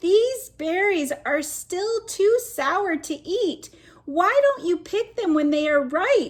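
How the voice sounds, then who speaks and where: A woman puts on a squeaky character voice at an extremely high pitch. She talks at a very slow pace. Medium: read story. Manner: chirpy, curious, questioning.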